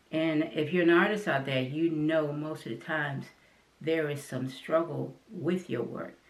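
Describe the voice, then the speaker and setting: Speaking with an American accent, a woman uses a very deep, low pitch, ordinary pitch variation and a fairly slow pace over noticeable background noise. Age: 60s. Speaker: artist and channel host. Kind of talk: personal talk to camera. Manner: halting.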